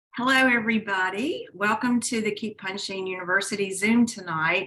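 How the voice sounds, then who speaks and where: An ordinary speaking voice with ordinary pitch variation, at a moderate pace. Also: woman, medium pitch for a woman. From Southern US. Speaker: network marketing host. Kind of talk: online call hosting.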